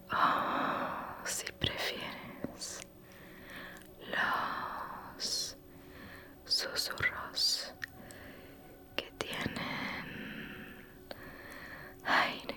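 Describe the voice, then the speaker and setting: A whisper creeps along at a very slow pace, broken by long, frequent pauses, with noticeable background noise behind it. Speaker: ASMR creator. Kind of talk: ASMR roleplay, personal attention. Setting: close to microphone. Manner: whispered, soft.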